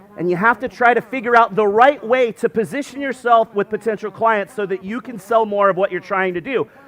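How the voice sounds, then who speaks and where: The man has a high pitch and an animated tone at a fairly quick pace. The sound is dry and close with no echo, though background noise is noticeable. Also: ordinary pitch variation. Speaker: SEO conference speaker. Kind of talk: conference talk. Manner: fast.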